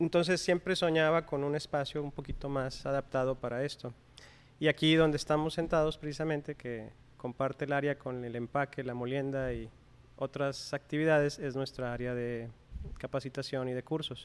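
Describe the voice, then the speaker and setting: This is an ordinary speaking voice with fairly even intonation. Its pace is moderate. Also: man, fairly high pitch for a man. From Mexico, Coahuila. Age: 40s. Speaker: coffee shop owner and roaster. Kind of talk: interview. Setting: his coffee shop.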